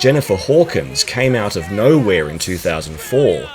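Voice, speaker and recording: Music runs in the background as someone with an Australian accent talks at a moderate pace. The pitch swings very widely. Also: man. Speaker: pageant commentator. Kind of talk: scripted narration.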